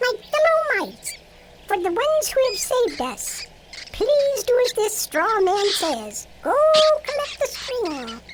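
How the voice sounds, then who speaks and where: Over music in the background, a squeaky put-on character voice speaks at a fairly slow pace with very wide pitch swings. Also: woman, extremely high pitch for a woman. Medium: audio drama. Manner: gracious, regal.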